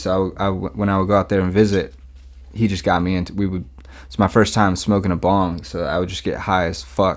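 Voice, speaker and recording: This man talks at a fairly quick pace with a Mid-Atlantic US accent. His pitch is very deep and low. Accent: American Mid-Atlantic. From US Mid-Atlantic, Maryland. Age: 30s. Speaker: rapper and music producer. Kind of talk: casual interview chat. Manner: relaxed, casual.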